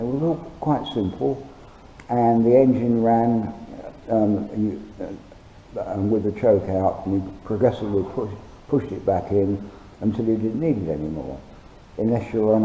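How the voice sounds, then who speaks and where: With lively intonation and a fairly low pitch, a man talks at a moderate pace amid audible room echo. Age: 70s. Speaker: hobby machinist and welder. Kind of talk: tutorial. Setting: home workshop. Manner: halting, many ums and uhs. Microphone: poor sound quality from cheap camera.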